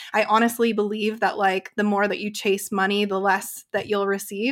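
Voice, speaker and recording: A woman with an American accent talks fairly quickly at a medium pitch in a monotone, flat intonation, the sound dry and close with no echo. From Utah. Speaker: business coach and hypnotherapist. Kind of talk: casual chat.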